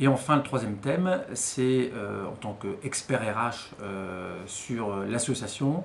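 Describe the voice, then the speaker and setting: Very slow speech from a man at medium pitch, lively in intonation, with hardly any pauses and audible room echo. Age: 40s. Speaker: HR consultant and mentor. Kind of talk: interview testimony.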